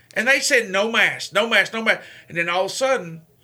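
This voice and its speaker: The man's voice is raised and projected, with a bright, sharp tone. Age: 40s. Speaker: radio host and veterans advocate. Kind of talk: casual chat. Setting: studio.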